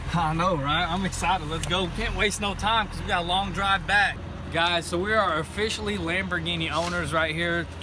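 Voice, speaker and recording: Amid noticeable background noise and audible room echo, a man with a high pitch speaks at a moderate pace with fairly even intonation. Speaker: car rebuild vlogger. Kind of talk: casual chat. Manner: stuttering.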